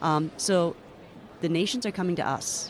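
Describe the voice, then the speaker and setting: Noticeable background noise sits behind a woman with a fairly low voice. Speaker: news producer and anchor. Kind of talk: interview.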